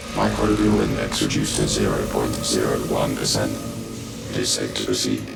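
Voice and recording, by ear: Clear music plays in the background as a man does a put-on character voice at an extremely low pitch with vocal fry. His intonation is monotone and flat. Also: moderate pace.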